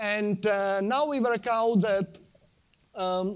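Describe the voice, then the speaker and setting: On a very clean recording with a silent background, a man with a Czech accent speaks at a very slow pace in a high-pitched voice. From Czech Republic. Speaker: sustainable living speaker, design engineer. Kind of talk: conference talk with slides. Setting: stage at convention centre with audience. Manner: halting, many fillers.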